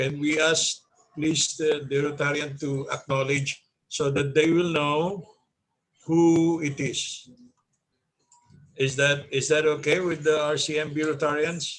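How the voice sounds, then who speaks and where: Speaking with a Filipino accent, a man talks fairly slowly in a fairly high, monotone, flat voice with long, frequent pauses. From Philippines. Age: 60s. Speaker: club meeting host. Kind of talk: virtual club meeting. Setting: video call.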